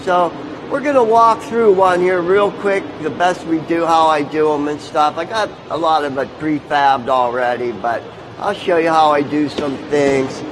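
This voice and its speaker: A man speaks with lively intonation at a moderate pace. Audible room echo and noticeable background noise surround him. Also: fairly high pitch for a man. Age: 60s. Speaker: tattoo artist and metal sculptor. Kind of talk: live demonstration talk. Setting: stage at a motorcycle show.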